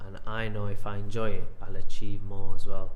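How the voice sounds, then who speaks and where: Audible room echo follows a man who speaks at a fairly quick pace. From northern England, Sheffield. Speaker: professional boxer. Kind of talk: interview. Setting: boxing gym. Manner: hesitant, with fillers.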